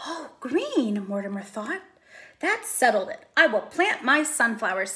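This is plain reading aloud. The pitch rises and falls in a lively way.

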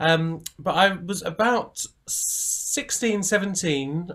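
The background is quiet. A man is talking. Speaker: guest. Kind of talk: interview answer. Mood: warm, amused storytelling. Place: home room.

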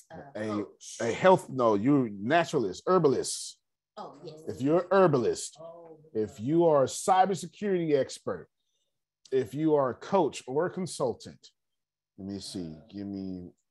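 A man speaks in an animated tone with very wide pitch swings. His pace is moderate. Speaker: business coach teaching a financial class. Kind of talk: online class lecture. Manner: animated, repetitive.

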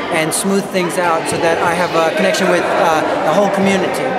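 The speech moves at a moderate pace beneath loud background noise. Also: man. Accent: American. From New Jersey. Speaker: percussionist. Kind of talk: interview. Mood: relaxed, thoughtful. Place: hall. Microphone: phone near.

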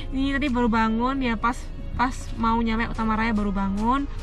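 Over clear background music, a woman speaks at a moderate pace with ordinary pitch variation in a dry sound with no echo. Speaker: travel vlogger. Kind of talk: casual vlog chat. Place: car. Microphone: phone near.

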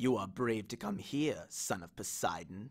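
A man puts on a character voice. His pitch is fairly low and his pace moderate. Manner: menacing, sinister.

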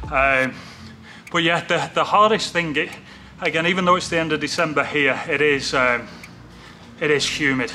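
A man's voice over faint background music. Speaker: fitness vlogger. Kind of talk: casual vlog chat. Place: gym.

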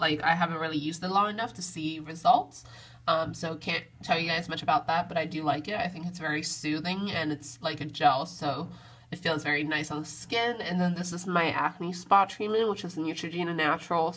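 In an ordinary speaking voice, a woman talks at a fairly quick pace with fairly low pitch and fairly even intonation. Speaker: beauty vlogger. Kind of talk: casual vlog chat. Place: bathroom. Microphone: phone near.

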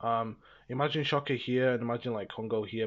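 A man with an unremarkable speaking voice, a fairly quick pace and ordinary pitch variation. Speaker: reviewer. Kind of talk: casual video review narration. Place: home room.

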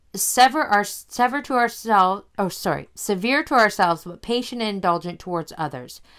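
Delivered at a moderate pace with lively intonation and hardly any pauses, the speech swings widely in loudness on a very clean recording with a silent background. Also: woman, medium pitch for a woman. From Canada. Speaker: podcast co-host. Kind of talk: casual chat. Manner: animated.

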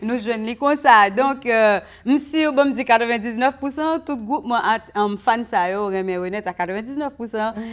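A woman's fairly high voice at a very slow pace, with ordinary pitch variation, over a quiet background. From Haiti. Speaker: singer; guest. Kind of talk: casual chat. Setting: studio. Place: studio.

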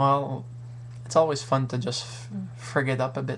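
Over light background noise, a man speaks at a fairly slow pace. His intonation is fairly even. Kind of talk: casual vlog chat. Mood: friendly, playful. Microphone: webcam.

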